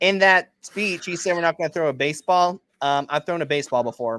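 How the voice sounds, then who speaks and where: In a dry, close sound with no echo, a man talks at a fairly quick pace in a plain, everyday voice with ordinary pitch variation. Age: 20s. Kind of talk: casual interview.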